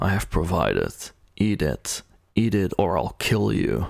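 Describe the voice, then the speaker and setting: Putting on a growling character voice with a very deep, low pitch, a man speaks at a moderate pace and very even loudness. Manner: menacing, impatient.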